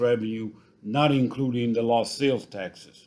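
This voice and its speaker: Here a man talks in a normal speaking voice at a moderate pace. His pitch is medium, with ordinary pitch variation. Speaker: co-host giving retail crime stats. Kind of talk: podcast news update.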